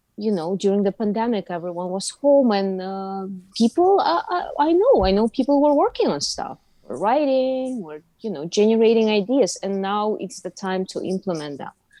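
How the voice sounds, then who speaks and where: A woman with a strong Russian accent speaks at a moderate pace and a fairly high pitch. Her pitch swings very widely, and her loudness shifts a great deal. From Uzbekistan. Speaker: actress. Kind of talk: casual interview chat.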